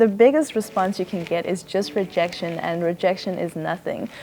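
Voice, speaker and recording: The speech moves at a moderate pace with fairly even intonation. Background noise is noticeable. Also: woman. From South Africa. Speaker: college student. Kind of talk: interview testimony.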